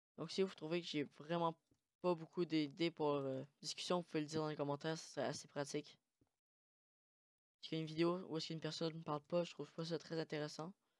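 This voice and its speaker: The delivery runs at a very fast pace yet has long, frequent pauses. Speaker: gaming YouTuber. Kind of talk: gameplay commentary. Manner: hesitant, many fillers.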